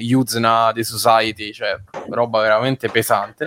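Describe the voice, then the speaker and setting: This man has a normal speaking voice at a medium pitch. He talks at a fairly slow pace. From Rome. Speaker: writer and podcast co-host. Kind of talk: casual chat.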